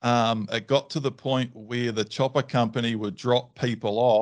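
Against a quiet background, a man with a New Zealand accent speaks at a medium pitch with fairly even intonation. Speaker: dog trainer. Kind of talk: casual chat. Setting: video call.

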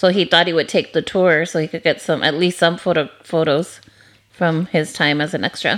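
A woman speaks at a moderate pace. Her pitch sits fairly low. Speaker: podcast host. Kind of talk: casual chat. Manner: animated, enthusiastic.

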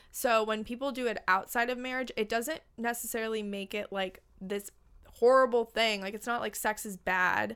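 The speaker talks at a moderate pace with fairly even intonation and an American accent. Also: woman, fairly high pitch for a woman. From Los Angeles, California. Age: 20s. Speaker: podcast host. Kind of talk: casual chat.

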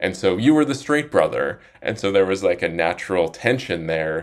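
With an American accent, a man speaks at a very deep, low pitch. The recording is very clean, with a silent background. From Utah, Salt Lake City suburbs. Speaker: author. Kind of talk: interview.

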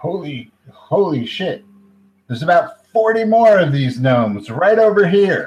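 A man puts on a gruff, high-pitched character voice, speaking at a fairly slow pace with long, frequent pauses. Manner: excited, startled.

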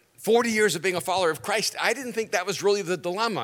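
A man with an American accent talks at a fairly quick pace in a raised, projected voice. His high pitch carries a bright, sharp tone. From United States, born in El Salvador. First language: Spanish. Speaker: pastor and author. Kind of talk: sermon. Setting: church stage with audience.

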